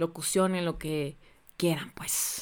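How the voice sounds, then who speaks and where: A woman speaks with a Mexican accent. Her pace is fairly slow. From Mexico, Xalapa, Veracruz. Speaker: podcast host, voice-over announcer. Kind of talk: casual interview. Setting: video call.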